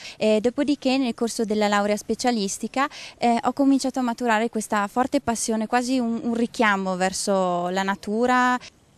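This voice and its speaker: In a dry recording with no echo, a woman with a fairly high pitch speaks at a moderate pace, her loudness very even and her intonation fairly even. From Trentino, Ledro valley; Trentino. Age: 20s. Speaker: farmer; interviewee. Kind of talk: testimony. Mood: calm, reflective. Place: street. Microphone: handheld.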